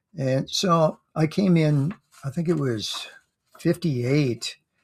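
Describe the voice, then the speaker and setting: A man's somewhat breathy voice. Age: 70s. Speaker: amateur runner vlogger. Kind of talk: casual monologue recap. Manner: halting, many fillers.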